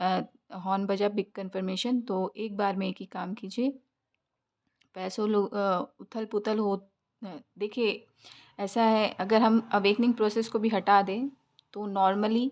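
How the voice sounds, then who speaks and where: Her intonation monotone and flat, a woman speaks with long, frequent pauses on a very clean recording with a silent background. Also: medium pitch for a woman. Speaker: tarot reader. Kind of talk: tarot reading. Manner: hesitant with fillers.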